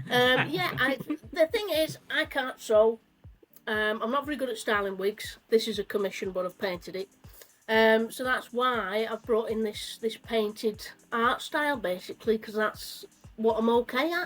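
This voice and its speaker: Over music in the background, a woman with a northern English accent speaks at a moderate pace and a fairly high pitch, with ordinary pitch variation. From northern England. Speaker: cosplayer. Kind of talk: casual chat.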